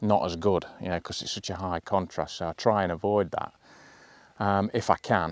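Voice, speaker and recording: A man's fairly low voice, flat and monotone, with a dry sound and no echo. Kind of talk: casual vlog chat. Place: open country. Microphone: lapel.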